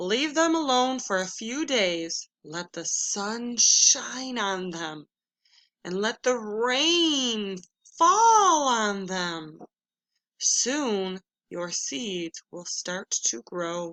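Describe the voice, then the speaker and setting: In a put-on character voice, a woman speaks very slowly at a fairly high pitch. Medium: read story.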